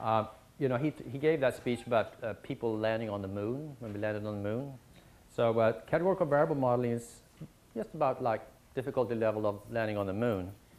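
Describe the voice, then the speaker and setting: Talking at a very fast pace with a Swedish accent, the speaker uses ordinary pitch variation. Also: man, medium pitch for a man. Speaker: statistics professor teaching a short course. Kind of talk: lecture. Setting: university lecture room with audience. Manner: many fillers and hesitations.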